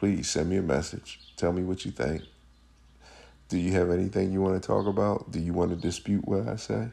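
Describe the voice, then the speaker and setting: A man's very deep, low voice with a dark, mellow tone and vocal fry, ordinary pitch variation and a fairly quick pace. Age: 50s. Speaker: podcast host. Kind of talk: solo monologue.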